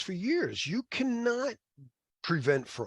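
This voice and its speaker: This man's somewhat breathy voice swings very widely in pitch. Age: 60s. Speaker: cybersecurity certification instructor. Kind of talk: lecture. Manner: halting, many fillers and restarts.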